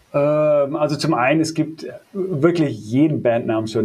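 This is a man's voice, and its pitch rises and falls in a typical way. Clear background noise sits under it. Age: 30s. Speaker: metal bassist. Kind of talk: casual interview.

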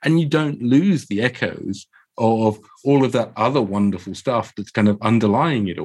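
A man with a London accent speaks at a moderate pace in a medium pitch, his intonation lively. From Croydon, south London. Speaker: dungeon master and show creator. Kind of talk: casual interview chat. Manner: hesitant, filler-heavy.

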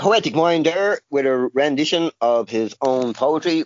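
A man talks with lively intonation at a fairly high pitch. He has a plain, everyday voice. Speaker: podcast co-host. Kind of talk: interview.

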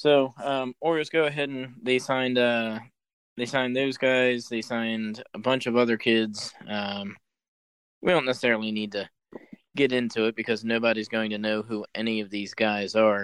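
A man with an American accent and an ordinary speaking voice, medium pitch, fairly even intonation and a moderate pace. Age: 30s. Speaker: sports podcast host. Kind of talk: casual chat.

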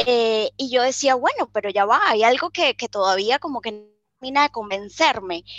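A woman with a high pitch and lively intonation speaks at a moderate pace, in a dry, close sound with no echo. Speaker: life coach. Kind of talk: interview conversation.

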